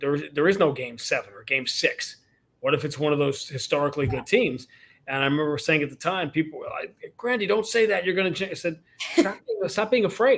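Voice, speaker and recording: With lively intonation and a high pitch, a man speaks at a fairly quick pace. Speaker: radio play-by-play announcer. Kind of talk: podcast interview answer.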